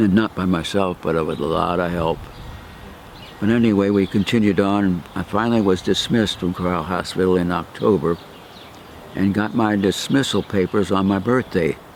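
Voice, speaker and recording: A man speaks with a very deep, low pitch and ordinary pitch variation. Noticeable background noise is present. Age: 80s+. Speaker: war veteran. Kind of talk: oral history interview. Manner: halting.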